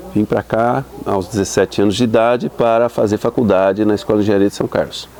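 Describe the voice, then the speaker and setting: Over noticeable background noise, a man with a fairly low pitch talks at a very fast pace and keeps his loudness very even. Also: fairly even intonation. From Brazil, São Paulo city. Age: 60s. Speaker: university professor. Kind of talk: interview testimony. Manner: hesitant, many fillers.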